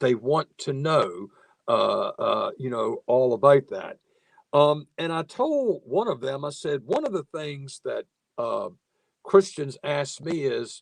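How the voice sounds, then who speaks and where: In a dry, close recording with no echo, a man with a Southern US accent speaks at a very slow pace. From US South, Virginia (Nottoway County). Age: 60s. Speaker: moderator and professor. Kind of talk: webinar panel moderation. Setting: video call webinar.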